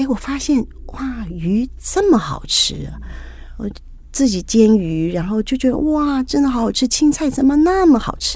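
Noticeable background noise under a woman's moderately paced speech. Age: 60s. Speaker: businesswoman, wife of a service club district governor. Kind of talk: interview.

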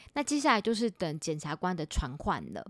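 Recorded very cleanly against a silent background, with a dry, close sound with no echo, a woman with an unremarkable speaking voice talks at medium pitch with lively intonation. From Taiwan, Taipei. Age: 40s. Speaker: podcast host and author. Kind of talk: casual monologue; sponsored product pitch.

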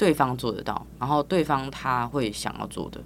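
This woman's voice sits at a very deep, low pitch. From Taiwan, Tainan. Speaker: physical therapist and business founder. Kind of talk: casual interview.

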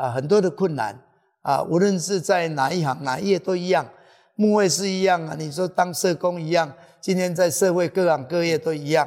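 Speaking at a moderate pace, a man uses a high voice with ordinary pitch variation. The recording is very clean, with a silent background. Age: 60s. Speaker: pastor. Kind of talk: interview testimony. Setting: church with live audience. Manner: halting with many fillers.

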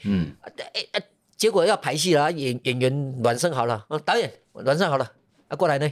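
A man's fairly high voice with an animated tone and lively intonation, at a moderate pace. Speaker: theatre director. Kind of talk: casual interview chat.

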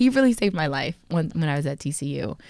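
Vocal fry runs through this woman's voice. The recording is very clean with a silent background, and the sound is dry and close, with no echo. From Texas. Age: 20s. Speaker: dancer and podcast co-host. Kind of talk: casual chat.

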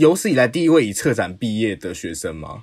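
Over a silent background in a very clean recording, a man with medium pitch talks at a fairly quick pace, his pitch swinging very widely. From Taiwan, Taipei. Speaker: podcast host. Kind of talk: casual interview.

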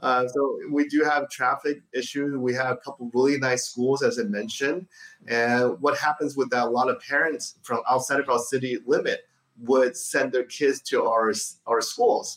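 With a normal speaking voice, a man talks at a fairly high pitch and a moderate pace, using ordinary pitch variation. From Taiwan (Taipei), moved to US at 12. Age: 40s. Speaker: mayor. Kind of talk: interview.

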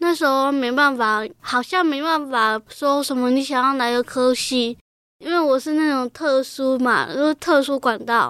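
Intonation stays fairly even. The pace is fairly slow. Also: woman. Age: 20s. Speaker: young person from a care home, special-education student. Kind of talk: interview testimony.

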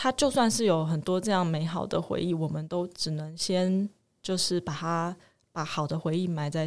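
A woman's normal speaking voice, fairly low in pitch with ordinary pitch variation, on a very clean recording with a silent background. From Taiwan. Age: 30s. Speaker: mother, interviewee. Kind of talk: interview testimony.

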